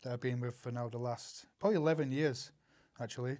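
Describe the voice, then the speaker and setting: This man speaks with a Northern English accent. His pitch is medium and varies in an ordinary way. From Northern England. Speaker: actor, writer, producer. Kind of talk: interview answer.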